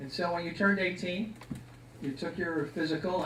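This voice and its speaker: Audible room echo surrounds a man with an Upper Midwest accent who speaks at a very fast pace. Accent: Upper Midwest American. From Milwaukee, Wisconsin. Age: 60s. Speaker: Vietnam war veteran. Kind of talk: personal testimony talk. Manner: casual, conversational.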